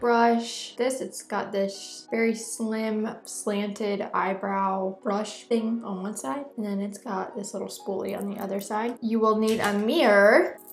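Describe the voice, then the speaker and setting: Over music in the background, a woman speaks at a fairly slow pace with a fairly high pitch and fairly even intonation. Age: 20s. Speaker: makeup artist and esthetician. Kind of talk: tutorial. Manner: casual.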